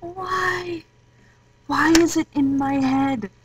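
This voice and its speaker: Very slow speech comes from a woman with a high pitch, with noticeable background noise behind her. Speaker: vlogger. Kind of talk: casual talk to camera.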